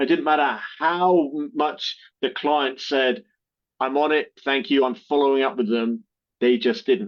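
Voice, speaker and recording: Fairly high in pitch, a man with a British accent talks at a fairly slow pace with ordinary pitch variation. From Britain. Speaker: marketing agency co-founder, army veteran. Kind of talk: podcast interview. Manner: halting, many fillers and repeats.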